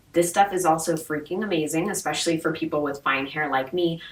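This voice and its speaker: A fairly low-pitched woman's voice at a moderate pace over noticeable background noise. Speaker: beauty vlogger. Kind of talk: product review vlog. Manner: casual, chatty. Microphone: mic was off, poor audio quality.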